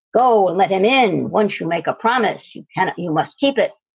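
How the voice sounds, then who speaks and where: In a put-on character voice, a woman speaks at a fairly quick pace and medium pitch. Her intonation is lively, with big swings in loudness. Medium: solo performance. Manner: stern.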